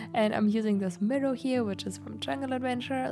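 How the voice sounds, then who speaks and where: A speaker with a German accent talks at a moderate pace. Music plays in the background. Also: woman. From Germany. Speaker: gaming YouTuber. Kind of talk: voiceover commentary. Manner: casual, hesitant with fillers.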